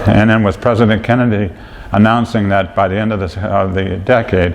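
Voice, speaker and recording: Over noticeable background noise, a man with a fairly low pitch speaks at a moderate pace in monotone, flat intonation. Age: 60s. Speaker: senior center member. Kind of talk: casual reminiscence.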